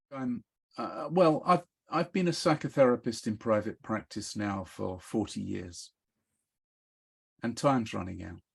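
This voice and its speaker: Somewhat breathy and medium in pitch, a man speaks at a fairly slow pace with long, frequent pauses. His pitch swings very widely and his loudness shifts a lot. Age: 70s. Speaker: psychotherapist. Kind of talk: interview.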